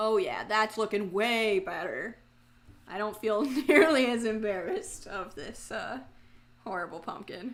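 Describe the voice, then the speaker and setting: With an Orlando accent, a woman speaks at a fairly slow pace in a fairly high pitch, her intonation lively, her loudness swinging widely and her pauses long and frequent. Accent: Orlando accent (said by self). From Florida, Orlando. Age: 20s. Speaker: streamer. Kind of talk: casual live stream chat. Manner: chatty, animated.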